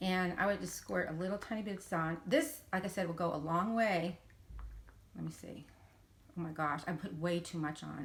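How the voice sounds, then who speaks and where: A somewhat breathy woman's voice, fairly low in pitch, with ordinary pitch variation at a moderate pace. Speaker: beauty vlogger. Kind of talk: product review vlog. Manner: chatty, full of fillers.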